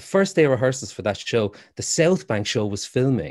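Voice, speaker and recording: With an Irish accent, a man speaks at a fairly quick pace in a medium pitch. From Ireland, Waterford. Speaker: actor. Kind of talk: casual chat. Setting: video call.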